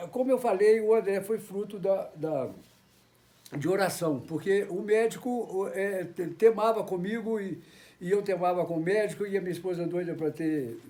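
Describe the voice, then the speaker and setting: A man speaks at a moderate pace in a high voice with a dark, mellow tone and ordinary pitch variation. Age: 70s. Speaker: church member giving testimony. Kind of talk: testimony. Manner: halting.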